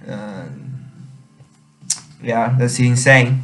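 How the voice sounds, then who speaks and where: A man with a Chinese accent speaks at a very slow pace in a medium-pitched, monotone, flat voice while music plays in the background. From China. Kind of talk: casual talk to camera. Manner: hesitant, many fillers.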